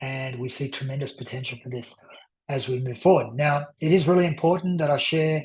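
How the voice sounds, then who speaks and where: A man talks at a fairly quick pace with a fairly high pitch. His voice is somewhat breathy and his intonation fairly even. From Australia. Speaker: crypto investment presenter. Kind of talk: sales pitch. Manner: hesitant, with fillers.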